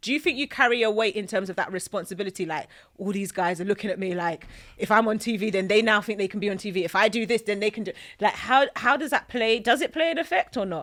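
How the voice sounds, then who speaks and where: On a very clean recording with a silent background, a woman with a slight South East London accent speaks very fast in a fairly high pitch with lively intonation. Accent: slight South East London twang. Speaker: podcast host. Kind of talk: casual interview.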